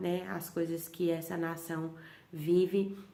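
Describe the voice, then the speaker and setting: With audible room echo, a woman speaks very slowly in a fairly low, monotone, flat voice. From Bahia, Brazil. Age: 30s. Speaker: missionary leader. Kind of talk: testimony.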